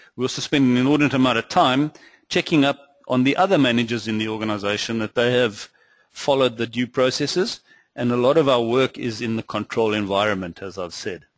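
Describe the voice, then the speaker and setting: At a very fast pace, a man with a South African accent talks in a medium pitch with ordinary variation. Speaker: finance executive and webinar presenter. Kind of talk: webinar presentation. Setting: webinar.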